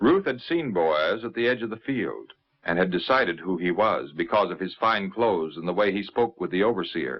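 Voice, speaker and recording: A man talks in an unremarkable speaking voice with a fairly low pitch. His intonation is lively and his pace moderate. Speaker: narrator. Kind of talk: 1950s religious TV narration of a Bible story.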